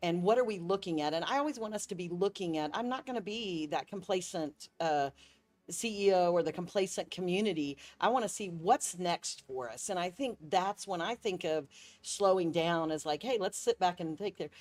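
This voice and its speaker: This woman has a normal speaking voice at medium pitch, with lively intonation and a moderate pace. The recording is very clean, with a silent background. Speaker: tourism bureau CEO. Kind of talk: interview.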